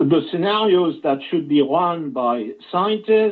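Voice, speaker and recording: A man speaks very slowly in a French accent. His pitch is high. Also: quiet background. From France. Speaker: journalist. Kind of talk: interview. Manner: halting. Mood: grave, urgent warning. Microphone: video call.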